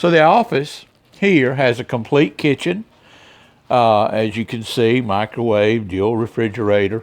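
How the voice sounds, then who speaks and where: A man with a plain, everyday voice talks fairly slowly at a medium pitch, with ordinary pitch variation. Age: 60s. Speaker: semi-retired car dealer and vlogger. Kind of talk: casual video tour vlog. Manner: relaxed, with frequent fillers.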